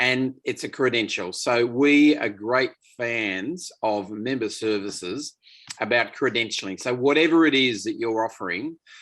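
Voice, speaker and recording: This man has an Australian accent and a medium pitch. He talks at a fairly slow pace with ordinary pitch variation. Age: 60s. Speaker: association management consultant. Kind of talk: webinar presentation. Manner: halting.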